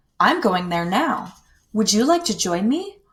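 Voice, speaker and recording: A woman performs a put-on character voice at a moderate pace. Her fairly high pitch moves in very wide swings. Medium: read story. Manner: hearty, kindly.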